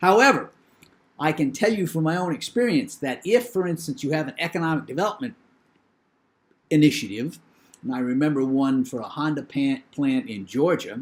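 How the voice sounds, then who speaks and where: A man with a New England accent talks at a fairly quick pace and fairly high pitch, with very wide pitch swings. Long pauses come often. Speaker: professor. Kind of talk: lecture.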